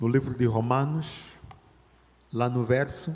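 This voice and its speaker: This man's medium-pitched voice moves very slowly, with ordinary pitch variation. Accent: Angolan. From Angola. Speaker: lay preacher, theology student. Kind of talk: sermon. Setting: church. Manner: loud.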